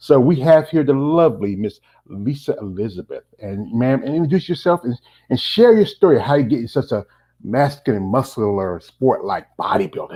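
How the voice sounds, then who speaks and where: On a very clean recording with a silent background, a man with an American accent speaks in a dark, mellow tone at medium pitch with very wide pitch swings. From North Carolina. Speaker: interviewer. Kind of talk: interview. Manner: a little fast.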